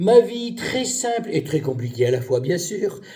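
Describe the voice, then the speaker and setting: Lively intonation marks a man's dark, mellow tone. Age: 70s. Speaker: retired pharmacist, game show applicant. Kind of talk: self-presentation video. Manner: hesitant.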